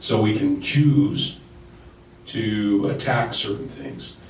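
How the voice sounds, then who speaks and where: With audible room echo and noticeable background noise, a man speaks at a fairly slow pace, medium in pitch, with ordinary pitch variation. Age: 60s. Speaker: political candidate. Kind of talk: panel discussion.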